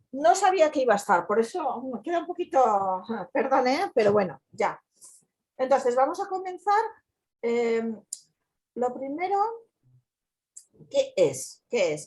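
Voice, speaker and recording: Speaking at a fairly slow pace with long, frequent pauses, a woman uses a high voice with very wide pitch swings. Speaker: community educator. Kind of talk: online talk.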